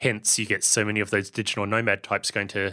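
With a New Zealand accent, a man talks very fast in a fairly low voice with a bright, sharp tone. The recording is very clean, with a silent background. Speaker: podcast host, software founder. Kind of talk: casual chat.

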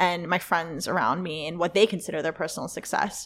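A woman talks in a normal speaking voice at medium pitch. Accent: American. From Los Angeles, US. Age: 20s. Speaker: startup co-founder and CEO. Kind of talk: casual interview conversation.

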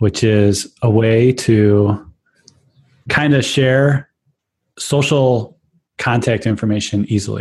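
The voice is somewhat breathy and moves at a very slow pace with long, frequent pauses, fairly even intonation and very even loudness. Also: man, medium pitch for a man. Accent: Chicago. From Chicago, US. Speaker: tech podcast co-host. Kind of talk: casual chat.

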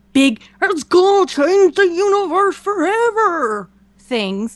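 A put-on character voice comes through at an extremely high pitch. It moves at a fairly slow pace. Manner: hyped, announcer-like.

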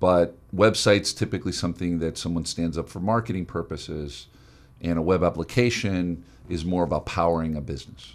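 This man has an American accent and a very deep, low pitch. He talks at a fairly quick pace with ordinary pitch variation. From South Florida. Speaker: radio host and tech entrepreneur. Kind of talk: radio interview.

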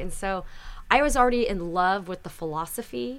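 Audible room echo follows a woman speaking at a medium pitch. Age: 40s. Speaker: skincare company founder. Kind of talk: casual chat. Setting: studio.

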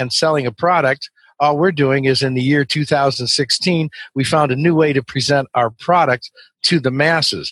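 A man speaks at a moderate pace, fairly high in pitch with fairly even intonation. He has a plain, everyday voice, with a dry, close sound and no echo. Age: 60s. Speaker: webinar sales trainer. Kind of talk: interview.

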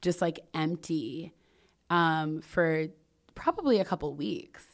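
Lively intonation from a woman with an American accent, on a very clean recording with a silent background. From US suburbs. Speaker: podcast host and founder. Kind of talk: casual chat.

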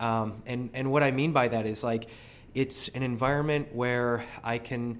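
At a fairly slow pace, a man speaks in a plain, everyday voice, medium in pitch, with fairly even intonation. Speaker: gym member, marathon runner. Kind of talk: casual interview.

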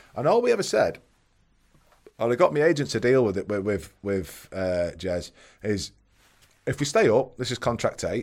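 Talking at a fairly quick pace with long, frequent pauses and very wide pitch swings, a man with a Mancunian accent is heard on a very clean recording with a silent background. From Manchester, northern England. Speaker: former professional footballer. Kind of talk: casual chat.

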